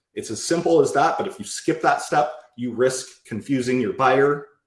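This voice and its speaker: A somewhat breathy male voice. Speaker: sales trainer. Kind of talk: live presentation to group. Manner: fast.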